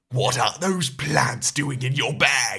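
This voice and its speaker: This is a put-on character voice. It sounds raspy. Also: man. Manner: angry, snapping.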